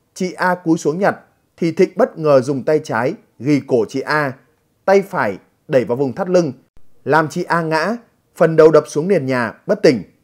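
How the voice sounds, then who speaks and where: A man's fairly high voice at a moderate pace, with lively intonation and long, frequent pauses, on a very clean recording with a silent background. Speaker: news presenter. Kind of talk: news reading. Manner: formal.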